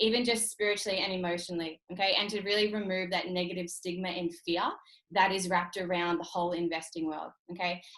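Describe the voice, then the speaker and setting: Very fast pace in an Australian accent. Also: woman, medium pitch for a woman. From Australia, North Queensland. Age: 30s. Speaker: entrepreneur and trading mentor. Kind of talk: motivational webinar talk. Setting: online video call. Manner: energetic, emphatic.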